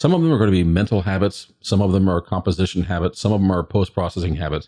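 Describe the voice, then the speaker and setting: Speaking very fast in an American accent, a man with a fairly low pitch and a dark, mellow tone is heard in a dry, close recording with no echo and a quiet background. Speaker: photography podcast host. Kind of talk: casual podcast chat.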